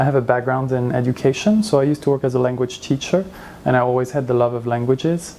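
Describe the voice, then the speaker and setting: Noticeable background noise accompanies a man speaking very fast with a French accent, at a medium pitch with ordinary variation. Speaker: translator. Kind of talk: interview. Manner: hesitant, many fillers.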